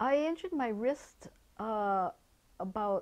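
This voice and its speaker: Speaking at a very slow pace, a woman uses a fairly high pitch and lively intonation. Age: 60s. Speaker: activities therapist for older adults. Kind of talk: personal testimony. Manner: halting, with repeated words and restarts.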